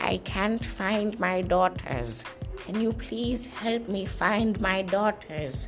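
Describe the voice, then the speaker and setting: A put-on character voice at a middle pitch, very slow, with clear music in the background. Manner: creepy, slow.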